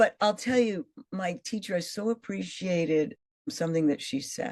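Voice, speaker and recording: A woman speaks at a moderate pace in a fairly low voice. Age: 60s. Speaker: actress and fitness coach. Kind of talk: interview conversation.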